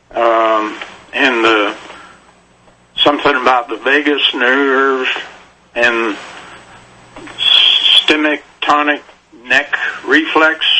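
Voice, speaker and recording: Slowly and with long, frequent pauses, a man with a medium pitch and fairly even intonation speaks over noticeable background noise. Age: 60s. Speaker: caller. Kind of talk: radio call-in question. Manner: halting.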